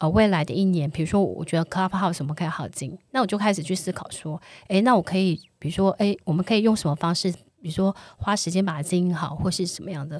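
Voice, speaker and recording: Against a very clean recording with a silent background, a woman speaks at a very fast pace and medium pitch. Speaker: podcast co-host. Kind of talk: casual chat.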